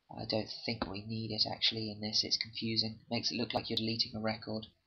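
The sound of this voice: A man talks fast in a fairly low pitch, monotone and flat, with a husky, rough edge.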